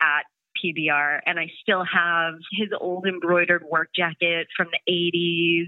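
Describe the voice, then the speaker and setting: A woman with an ordinary speaking voice, fairly low in pitch, at a fairly slow pace. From US, Portland, Maine. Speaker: brewery production manager. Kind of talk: casual chat. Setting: phone call.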